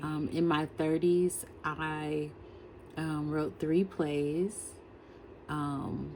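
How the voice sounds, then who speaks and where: A woman speaks very slowly in a very deep, low voice, flat and monotone, with long, frequent pauses. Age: 50s. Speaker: writer and education consultant. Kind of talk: personal vlog monologue. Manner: halting, many fillers.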